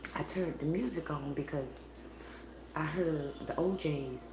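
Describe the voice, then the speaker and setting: A quiet woman at a very slow pace, with audible room echo and noticeable background noise. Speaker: spiritual tarot reader. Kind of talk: live tarot reading stream. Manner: low, quiet voice; casual, meandering.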